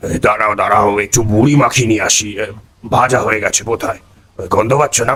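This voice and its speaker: A man puts on a raspy character voice at a medium pitch with fairly even intonation. He keeps a moderate pace and very even loudness. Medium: audio drama. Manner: interjects with "এ".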